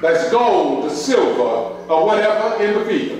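Very slowly, a man speaks in a room with strong echo. Light background noise can be heard. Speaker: preacher. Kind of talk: sermon. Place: church.

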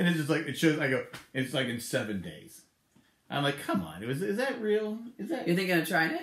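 Talking at a very fast pace, a man's voice carries audible room echo. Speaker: vlog co-host. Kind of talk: casual vlog chat. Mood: joking, light-hearted. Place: home room. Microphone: phone near.

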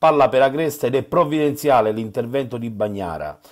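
A man talks in an ordinary speaking voice at medium pitch, his intonation lively. The recording is very clean, with a silent background. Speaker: sports reporter. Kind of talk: sports match report with play-by-play recap voiceover. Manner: clipped, minute-by-minute, reports each chance in turn.

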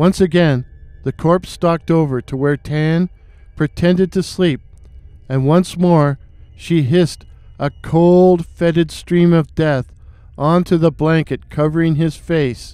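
A man's dark, mellow voice, dramatic in tone, at a fairly slow pace. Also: fairly high pitch for a man, fairly even intonation. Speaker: storyteller and horror writer. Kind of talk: horror folktale narration. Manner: dramatic, suspenseful storytelling; measured, spooky pacing.

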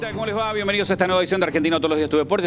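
There is noticeable noise in the background. Through it, a man talks. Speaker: sports TV show host. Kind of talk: TV presenter intro. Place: hall. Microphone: handheld.

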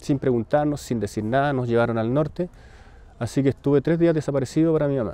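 A man with a Chilean accent, fairly high-pitched yet dark and mellow in tone, at a very fast pace with ordinary pitch variation. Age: 40s. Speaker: son of a disappeared detainee, artist. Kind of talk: personal testimony. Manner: halting, with many repetitions.

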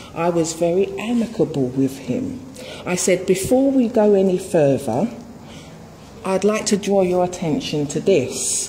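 Over light background noise, a woman at a medium pitch talks fairly slowly with very wide pitch swings. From England. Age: 40s. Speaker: resident disputing a warrant. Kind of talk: heated argument. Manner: animated. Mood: aggrieved, insistent. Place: home room. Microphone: phone near.

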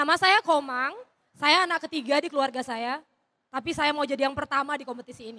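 Over a quiet background, a woman with a high pitch talks at a very fast pace, her loudness swinging widely while her pitch varies in an ordinary way. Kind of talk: stand-up comedy; stand-up comedy routine. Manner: casual, chatty, relaxed. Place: stage. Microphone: handheld.

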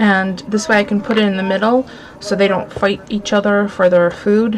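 Over light background noise, a woman speaks at a moderate pace. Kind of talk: casual haul vlog chat. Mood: cheerful, amused. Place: home room. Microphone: webcam.

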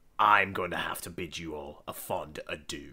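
In a put-on character voice, a man speaks slowly-ish at a fairly slow pace, raspy and very deep in pitch. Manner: dry, polite, sardonic.

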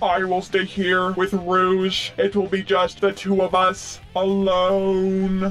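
Using a put-on character voice, a man speaks at a very slow pace and a high pitch over clear background noise. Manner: flat, robotic, formal.

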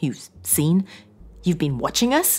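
A woman puts on a character voice, pitched low with a slightly husky edge and a slightly mellow tone. She talks slowly, her pitch making big swings.

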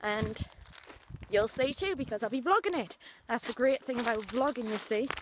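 Her intonation is lively. This woman speaks at a fairly high pitch. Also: moderate pace.

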